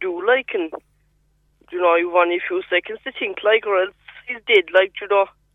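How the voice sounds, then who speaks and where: In a rural Cork accent, a man speaks at a moderate pace with a high pitch and ordinary pitch variation. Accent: rural Cork Irish. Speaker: farmer. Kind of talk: radio interview. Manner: halting.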